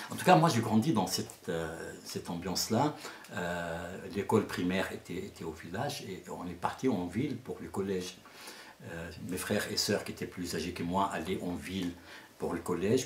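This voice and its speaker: A man with a very deep, low voice and ordinary pitch variation talks over noticeable background noise, with audible echo in the room. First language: Arabic (speaking French). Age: 60s. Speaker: storyteller. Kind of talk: interview. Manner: halting.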